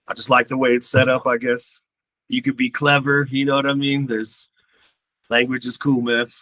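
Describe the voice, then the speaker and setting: A man's bright, sharp voice at medium pitch, monotone and flat, at a moderate pace, dry and close with no echo. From Poland, raised in Westminster, Colorado. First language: Polish. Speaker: rapper. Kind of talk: casual interview.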